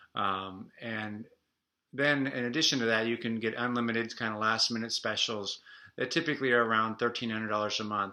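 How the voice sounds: The voice has a bright, sharp tone and fairly even intonation. It moves at a moderate pace with audible room echo. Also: man.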